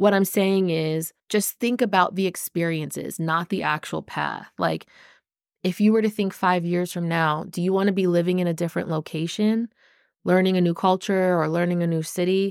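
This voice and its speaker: Speaking in a normal speaking voice with an American accent, a woman uses a fairly low pitch, moderate pace and fairly even intonation, recorded very clean with a silent background and a dry, close sound with no echo. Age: 30s. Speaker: podcast host. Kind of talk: solo podcast monologue. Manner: casual, conversational.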